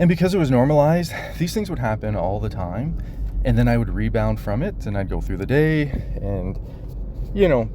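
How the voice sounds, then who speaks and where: In a room with audible echo, a man talks at a fairly quick pace. He leaves long, frequent pauses. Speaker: vlogger documenting personal experience. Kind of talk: personal video diary. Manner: halting.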